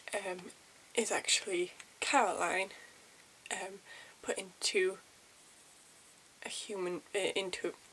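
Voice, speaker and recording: The speaker is soft-spoken. There is noticeable noise in the background. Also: woman. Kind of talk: ASMR game review.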